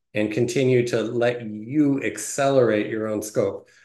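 A man with an American accent talks very slowly with fairly even intonation, and audible room echo surrounds his voice. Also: quiet background. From US Midwest, Detroit, Michigan; Michigan. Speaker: tech company CTO; interview guest. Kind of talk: casual interview. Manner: hesitant, many fillers.

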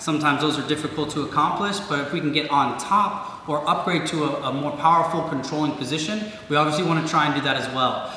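Amid light background noise and audible room echo, a man speaks at a very fast pace. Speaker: martial arts instructor. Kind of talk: tutorial. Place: gym.

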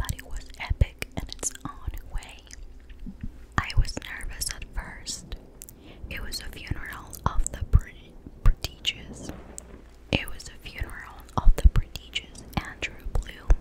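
A woman whispering at a fairly slow pace, with big swings in loudness and long, frequent pauses. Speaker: ASMR creator. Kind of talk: ASMR book reading to help sleep. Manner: whispered, soft-spoken. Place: home room. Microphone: studio mic.

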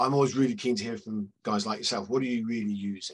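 A man with a British accent speaks with very wide pitch swings. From Britain. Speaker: media analytics consultant and webinar moderator. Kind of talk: webinar panel discussion. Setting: video call. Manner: friendly, jokey. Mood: friendly, light humor. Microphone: headset.

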